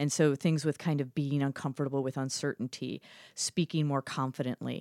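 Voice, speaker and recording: A woman's very deep, low voice at a very fast pace, dry and close with no echo. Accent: American. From Chicago, US Midwest. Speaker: improv comedian and storytelling teacher. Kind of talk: casual chat. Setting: studio.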